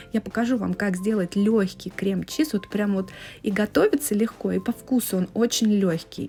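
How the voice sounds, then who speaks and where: Music plays in the background. A woman with a medium pitch speaks at a moderate pace with ordinary pitch variation. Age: 30s. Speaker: home cooking vlogger. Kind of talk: cooking tutorial. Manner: casual.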